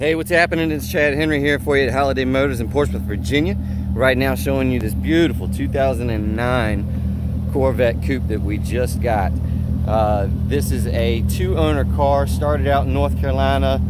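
A man at a moderate pace, with dry sound, no echo and loud background noise. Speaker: car salesman. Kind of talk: sales walkaround commentary. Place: street. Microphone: phone near.

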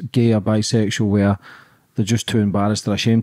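A man's very fast speech, fairly low in pitch, dark and mellow in tone, over a quiet background. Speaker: podcast host. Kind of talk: casual interview. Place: home room. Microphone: studio mic.

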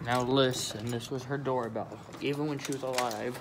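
A man talks at a moderate pace and medium pitch with fairly even intonation. Background noise is clearly audible.

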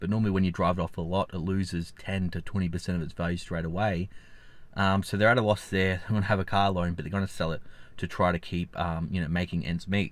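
In an Australian accent, a man with a very deep, low pitch talks at a very fast pace. His intonation is fairly even, and the sound is dry with no echo. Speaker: finance YouTuber. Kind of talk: vlog commentary; casual vlog chat. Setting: outdoors. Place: car. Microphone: phone near.

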